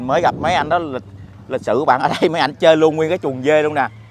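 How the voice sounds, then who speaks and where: Noticeable background noise sits behind a man's voice. He speaks at a fairly quick pace with ordinary pitch variation. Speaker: vlogger. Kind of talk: casual vlog narration. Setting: outdoors. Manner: animated.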